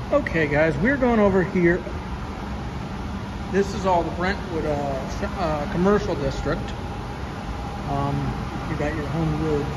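Over loud background noise, a man talks at a fairly slow pace with long, frequent pauses. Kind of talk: casual vlog chat. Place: garage. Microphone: phone near.

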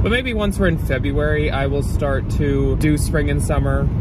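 Loud background noise sits behind a man talking at a moderate pace. The sound is dry, with no echo. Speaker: thrift reseller vlogger. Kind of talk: casual vlog chat. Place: car. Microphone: phone near.

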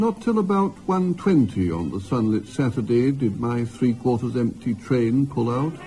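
With music playing in the background, a man at medium pitch speaks at a fairly slow pace, his pitch swinging very widely. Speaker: poet. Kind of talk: poetry reading. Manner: straightforward, natural; characteristic rise and fall intonation.

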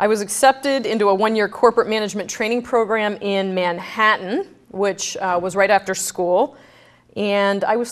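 Speaking at a fairly quick pace, a woman with an American accent uses a fairly high pitch. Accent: none, by her own account. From Brooklyn, New York. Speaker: bank executive. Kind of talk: guest lecture. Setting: stage with audience. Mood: candid, lightly humorous. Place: hall.

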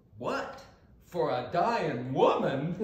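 Putting on a character voice, a man sounds croaky and high-pitched, with very wide pitch swings and a slight echo.

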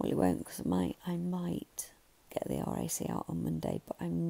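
Whispering with an English accent, a woman speaks at a fairly slow pace in a dry, close sound with no echo. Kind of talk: casual vlog talk to camera.

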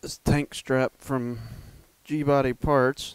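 A man's voice in a dry sound with no echo. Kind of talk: casual DIY commentary. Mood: mildly annoyed. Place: garage. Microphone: camera far.

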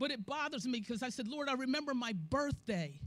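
Her pace is moderate. The voice belongs to a woman. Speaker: church elder preaching. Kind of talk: sermon. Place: church. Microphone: handheld.

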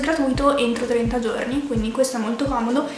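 Over clear background music and audible room echo, a woman talks very fast in a high voice. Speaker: vlogger. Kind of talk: casual vlog chat, sponsored product review. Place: home room.

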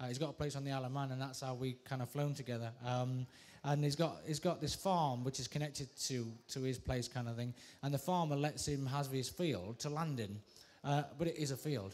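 A man speaking at a fairly quick pace, with ordinary pitch variation. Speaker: guest. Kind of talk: interview answer. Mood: relaxed, amused. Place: studio. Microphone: handheld.

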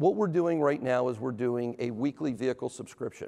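The man's dark, mellow voice moves at a very fast pace. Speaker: presenter. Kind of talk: conference talk. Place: stage. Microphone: lapel.

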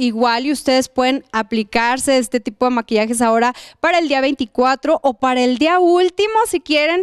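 At a moderate pace, a woman speaks in a high voice with ordinary pitch variation, on a very clean recording with a silent background and a dry, close sound with no echo. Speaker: TV fashion show host. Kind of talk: studio TV chat.

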